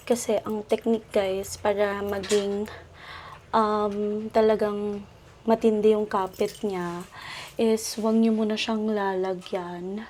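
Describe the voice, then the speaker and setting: At a very slow pace, a woman speaks at medium pitch in a dark, mellow tone with monotone, flat intonation. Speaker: lifestyle vlogger. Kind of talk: casual vlog narration.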